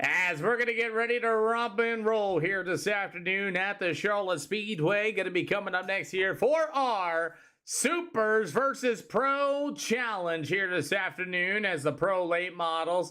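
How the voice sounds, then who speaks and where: Using a raised, projected voice, a man speaks at a high pitch in a bright, sharp tone, at a fairly slow pace with hardly any pauses. His loudness stays very even, with ordinary pitch variation. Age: 30s. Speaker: sim racing streamer. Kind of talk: live stream commentary. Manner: animated.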